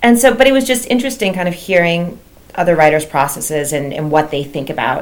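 The speaker has an American accent and talks at a fairly quick pace, with audible room echo. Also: woman. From New Jersey, US. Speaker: suspense novelist. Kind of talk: interview.

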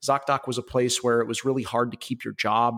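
In a Midwestern American accent, a man speaks at medium pitch and a fairly quick pace. The recording is very clean with a silent background, dry and close with no echo. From Ohio, Cleveland area. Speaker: tech sales executive. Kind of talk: interview.

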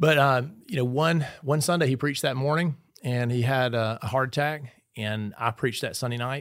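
A man speaks at a moderate pace and a medium pitch, with ordinary pitch variation, on a very clean recording with a silent background. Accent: Mississippi. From Mississippi (east-central, rural). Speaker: pastor. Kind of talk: casual chat. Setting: on-location recording at a training event.

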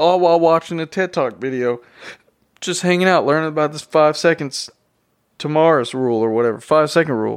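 This man has a Southern US accent. His pitch is fairly high, with ordinary variation. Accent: Southern US drawl. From Tennessee. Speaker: podcast host. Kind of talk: casual solo podcast monologue. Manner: casual, unscripted and rambling.

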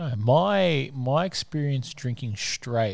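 The recording is very clean, with a silent background. A man with an Australian accent talks at a very slow pace. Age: 20s. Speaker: podcast co-host. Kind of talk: casual chat.

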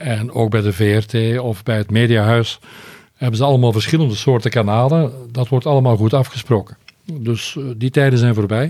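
Speaking at a moderate pace, a man has a medium pitch and a dark, mellow tone. His intonation shows ordinary pitch variation. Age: 60s. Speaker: retired foreign correspondent, journalist. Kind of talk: interview.

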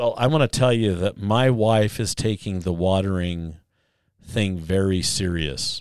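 In a plain, everyday voice with an American accent, the speaker goes at a fairly slow pace with ordinary pitch variation, on a very clean recording with a silent background. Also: man, fairly low pitch for a man. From northern Utah, US. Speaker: podcast host. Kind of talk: casual chat.

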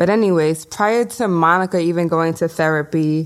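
Using a New York accent, a woman with a fairly low pitch speaks at a moderate pace with fairly even intonation. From Brooklyn, New York (Bushwick). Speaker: podcast co-host. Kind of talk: casual chat.

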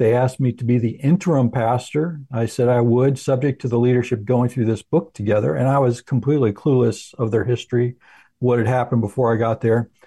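With an American accent, a man talks at a fairly quick pace in a dark, mellow, somewhat breathy tone at medium pitch, with fairly even intonation, hardly any pauses and a quiet background. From New Jersey, Morristown. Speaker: pastor and ministry president. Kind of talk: radio interview. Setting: studio.

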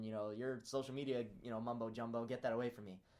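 A man with an American accent and a medium-pitched voice speaks at a very fast pace. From US Midwest (Peoria, Illinois). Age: 20s. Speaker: college student and social media entrepreneur. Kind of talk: podcast interview. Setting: professor's office on campus.

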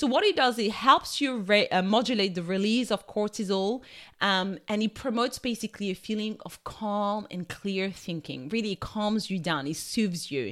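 On a very clean recording with a silent background, a woman with a French accent speaks at a moderate pace, with hardly any pauses and lively intonation. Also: medium pitch for a woman. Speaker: nutritional therapist and wellbeing coach. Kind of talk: solo wellness podcast talk. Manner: warm, casual, conversational.

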